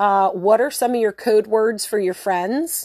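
Fairly slow and fairly high-pitched, a woman speaks in a plain, everyday voice with ordinary pitch variation, the recording very clean with a silent background and a dry, close sound with no echo. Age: 40s. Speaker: podcast host. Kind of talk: casual monologue. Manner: casual, filler-heavy.

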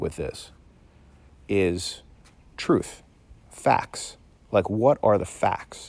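This man's voice is captured on a very clean recording against a silent background. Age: 40s. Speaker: physician podcast host. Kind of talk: unscripted solo podcast monologue. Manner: animated.

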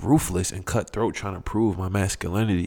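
Here a man's voice sits fairly low, with a warm tone and fairly even intonation. The pace is moderate and the recording very clean with a silent background. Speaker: podcast host. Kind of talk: solo monologue with personal storytelling. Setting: home recording, solo video podcast. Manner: conversational, warm, laughs often.

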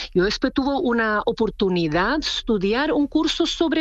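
A woman with a non-native accent speaks at a high pitch and a moderate pace. Noticeable background noise is present. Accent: foreign accent in Spanish. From Czech Republic. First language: Czech (speaking Spanish). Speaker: clothing designer. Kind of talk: interview.

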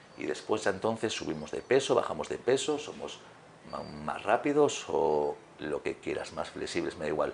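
The talking moves at a fairly quick pace over noticeable background noise. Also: man. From Galicia, Spain. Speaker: fitness trainer and former handball player. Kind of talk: interview.

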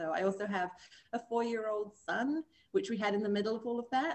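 Speaking with an English accent, a woman keeps a moderate pace and ordinary pitch variation. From England. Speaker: magazine co-owner and former professional dancer. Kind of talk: interview.

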